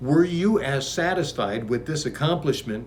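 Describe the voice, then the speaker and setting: His fairly high voice carries vocal fry and very wide pitch swings as the man speaks. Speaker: author reading his own book. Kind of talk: casual spiritual book reading with commentary.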